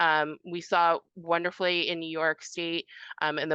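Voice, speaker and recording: A woman's very deep, low pitch with monotone, flat intonation. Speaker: nonprofit policy advocate. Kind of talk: conference panel presentation. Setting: conference with audience. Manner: fast; hesitant, many fillers.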